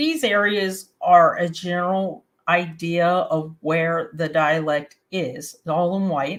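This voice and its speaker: In a very clean recording with a silent background, a woman with a fairly low pitch talks in an Appalachian accent. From West Virginia, Appalachia. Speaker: webcast host. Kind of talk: educational talk to camera. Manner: casual, friendly.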